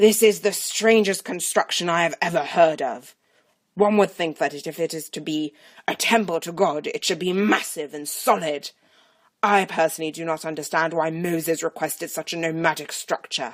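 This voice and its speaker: A woman's put-on character voice, pompous in tone and fairly low in pitch, at a moderate pace with big swings in loudness. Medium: read story. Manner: pompous, condescending.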